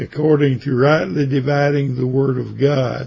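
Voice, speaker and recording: A somewhat breathy man at a very slow pace. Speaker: Bible teacher. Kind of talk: Bible study lecture. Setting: online session. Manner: halting.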